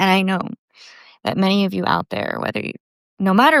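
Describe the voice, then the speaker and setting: A woman with an American accent talks at a fairly quick pace in a medium pitch, her intonation fairly even. The recording is very clean with a silent background and a dry, close sound with no echo. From United States, half Puerto Rican. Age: 30s. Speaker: podcast host. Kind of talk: casual monologue.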